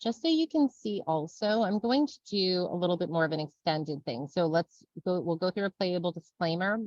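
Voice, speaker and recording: With lively intonation and a fairly low pitch, a woman speaks in a dry, close sound with no echo. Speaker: software trainer. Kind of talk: webinar tutorial. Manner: fast; casual.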